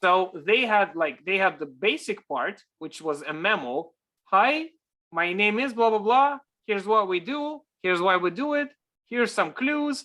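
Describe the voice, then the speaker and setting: A man's raised, projected voice, high-pitched and bright, sharp in tone, with very wide pitch swings at a moderate pace on a very clean recording with a silent background. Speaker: story practitioner presenting a project. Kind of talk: virtual workshop presentation.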